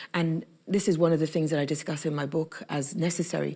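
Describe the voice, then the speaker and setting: On a very clean recording with a silent background, a woman speaks at a very fast pace in a very deep, low pitch with vocal fry. Her dark, mellow tone stays monotone and flat. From Egypt. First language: Arabic. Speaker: activist and journalist. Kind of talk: interview. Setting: youth summit event.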